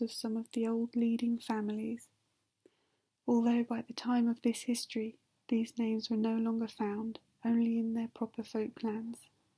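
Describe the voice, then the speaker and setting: A woman's fairly high, dark and mellow voice with a British accent, monotone and flat, at a moderate pace, in a dry, close sound with no echo. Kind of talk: ASMR sleep reading of a novel. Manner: soft-spoken.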